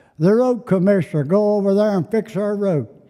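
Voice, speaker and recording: The man has a high-pitched voice with a dark, mellow tone. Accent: Appalachian. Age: 70s. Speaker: citizen addressing county court. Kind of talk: public comment at meeting. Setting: county fiscal court meeting. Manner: halting.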